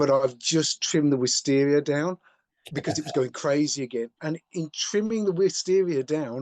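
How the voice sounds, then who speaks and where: A man with an unremarkable speaking voice talks at a moderate pace in a fairly high pitch with ordinary variation. The sound is dry and close with no echo. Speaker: furniture making teacher. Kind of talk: podcast co-host conversation.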